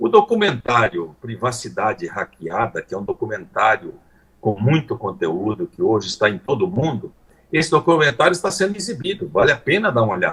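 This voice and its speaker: A man speaks at a fairly quick pace in a fairly high pitch, with vocal fry. His pitch swings very widely. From Paraná, southern Brazil. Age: 70s. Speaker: politician. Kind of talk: live interview.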